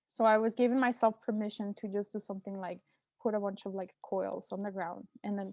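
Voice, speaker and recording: A woman talks at a medium pitch in a monotone, flat intonation. Her pace is very fast. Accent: Mexican. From Mexico. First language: Spanish. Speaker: artist. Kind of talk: artist talk. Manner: hesitant, many fillers.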